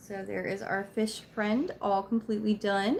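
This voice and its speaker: A woman speaks quietly at a fairly high pitch. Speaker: crochet craft video maker. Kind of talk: craft tutorial livestream. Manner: casual, chatty.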